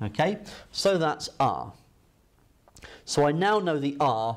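Speaking very slowly, a man delivers his words. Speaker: maths teacher. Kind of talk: tutorial. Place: classroom. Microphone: lapel.

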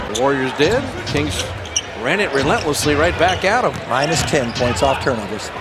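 A man speaks at a fairly high pitch with lively intonation. The sound is dry with no echo, though loud background noise is present. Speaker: play-by-play announcer. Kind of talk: live basketball commentary. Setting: arena broadcast over game footage. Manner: rapid-fire, excitable play-by-play calls. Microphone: headset.

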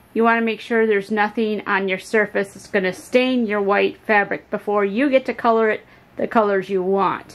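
A woman speaks at a moderate pace with hardly any pauses. Her intonation is fairly even. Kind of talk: tutorial. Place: kitchen. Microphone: phone near.

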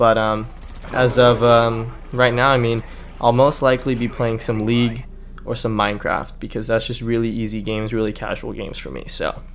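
A man with an American accent and medium pitch talks at a fairly quick pace in a monotone, flat intonation, with long, frequent pauses. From California. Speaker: gaming YouTuber. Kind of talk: casual vlog commentary. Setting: home recording with background noise. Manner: hesitant, many fillers.

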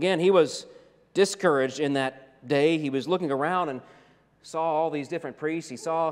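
With fairly even intonation and a moderate pace, a man talks while the background stays quiet. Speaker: pastor. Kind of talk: sermon. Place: church. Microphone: lapel.

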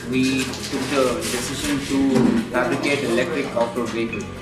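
A man at a fairly quick pace, with music in the background. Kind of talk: interview answer. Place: workshop.

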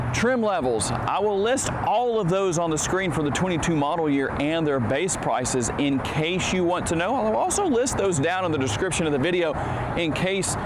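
A man talks at a moderate pace with hardly any pauses over noticeable background noise. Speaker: car reviewer. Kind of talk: product review walkaround. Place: street.

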